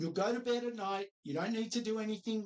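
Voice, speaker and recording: This is a man speaking with an Australian accent. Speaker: financial adviser. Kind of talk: training video presentation. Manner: upbeat, encouraging.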